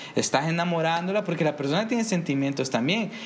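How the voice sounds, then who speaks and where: The room echo is audible here. A man speaks with a fairly high pitch. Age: 20s. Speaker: podcast co-host. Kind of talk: casual chat.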